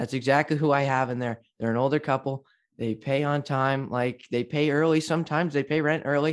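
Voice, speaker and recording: In a very clean recording over a silent background, a man with an unremarkable speaking voice talks at a fairly quick pace and fairly high pitch, with fairly even intonation. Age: 20s. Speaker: mortgage agent. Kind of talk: casual chat.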